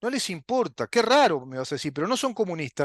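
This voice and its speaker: A man with a Uruguayan accent swings his pitch very widely, recorded dry and close with no echo against a quiet background. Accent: Rioplatense Spanish (Uruguayan). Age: 60s. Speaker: political commentary show host. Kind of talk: political monologue. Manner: animated.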